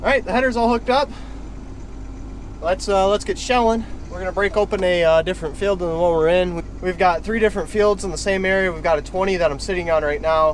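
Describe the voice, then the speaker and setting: Over noticeable background noise, a man with a high pitch speaks at a very fast pace. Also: ordinary pitch variation. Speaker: farmer. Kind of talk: casual vlog tutorial.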